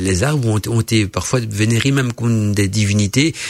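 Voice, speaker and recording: Speaking with a Belgian accent, a man talks at a fairly slow pace. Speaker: radio host. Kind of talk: casual chat.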